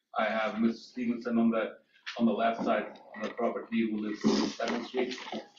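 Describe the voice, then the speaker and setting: This man speaks at a fairly quick pace. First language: not English. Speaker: property developer. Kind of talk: public hearing presentation. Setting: public meeting. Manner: halting.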